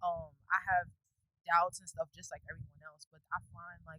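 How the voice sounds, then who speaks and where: A woman with a New York accent, animated in tone, in a dry, close sound with no echo. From New York City, Brooklyn. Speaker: podcast guest. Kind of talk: casual interview. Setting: rooftop in Brooklyn. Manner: loud, animated.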